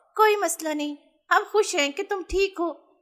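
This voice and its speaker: A cartoonish character voice, female-sounding and extremely high-pitched, delivered at a moderate pace. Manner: cartoonish, lively.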